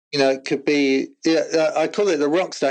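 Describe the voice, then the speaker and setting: A man speaks with an English accent. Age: 60s. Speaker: former rock drummer and corporate team-building speaker. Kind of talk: casual interview chat.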